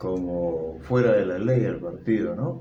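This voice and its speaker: Speaking at a very slow pace, a man with a very deep, low pitch is heard against noticeable background noise and audible room echo. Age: 70s. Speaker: interviewee, grandfather. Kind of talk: interview.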